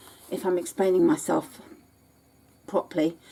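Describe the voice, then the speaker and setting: A woman talks at a moderate pace with very wide pitch swings. Noticeable background noise runs underneath. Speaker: sewing tutorial maker. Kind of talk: tutorial. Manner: halting, with frequent ums.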